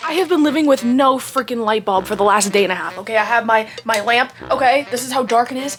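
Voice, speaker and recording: A woman's high-pitched voice at a very fast pace with hardly any pauses over music in the background. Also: ordinary pitch variation. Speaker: vlogger. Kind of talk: casual vlog talk. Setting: indoors at home.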